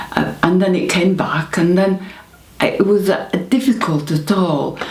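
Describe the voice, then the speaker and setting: A woman with a northern English accent speaks at a very slow pace and medium pitch. Audible room echo and noticeable background noise are present. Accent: northern English (Greater Manchester). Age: 70s. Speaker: stroke patient. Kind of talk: testimony. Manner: halting, hesitant with fillers and repetitions.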